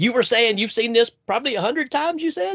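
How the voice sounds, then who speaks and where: The speaker has a Southern US accent. The sound is dry and close, with no echo. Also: man. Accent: Southern US drawl. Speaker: podcast host. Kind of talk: casual chat.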